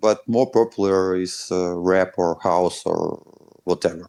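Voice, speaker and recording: A man's very deep, low, monotone voice with flat intonation and a Russian accent. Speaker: deathcore band member. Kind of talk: interview answers. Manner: halting.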